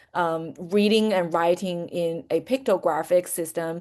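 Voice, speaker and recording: A moderate pace and ordinary pitch variation, in a Chinese accent. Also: woman. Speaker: language teacher, webinar presenter. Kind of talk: webinar presentation. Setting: online webinar. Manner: many fillers and self-corrections.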